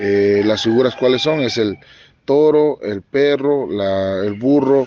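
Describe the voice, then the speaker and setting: A man's dark, mellow tone at medium pitch. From Mexico, Mixteca region of Puebla. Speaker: teacher and dance tradition expert. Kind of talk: interview testimony. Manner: halting, with fillers.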